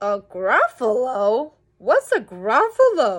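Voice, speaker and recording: Using a put-on character voice, a woman talks at a very slow pace in a high pitch. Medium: read story.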